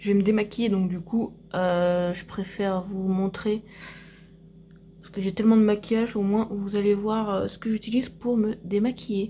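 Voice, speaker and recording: A somewhat breathy woman at a fairly high pitch, fairly slow, with fairly even intonation. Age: 30s. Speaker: vlogger and beauty product seller. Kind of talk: casual vlog. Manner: soft-spoken.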